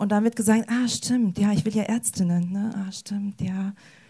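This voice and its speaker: With ordinary pitch variation, the speaker sounds somewhat breathy. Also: woman. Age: 20s. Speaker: youth social worker. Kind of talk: panel discussion.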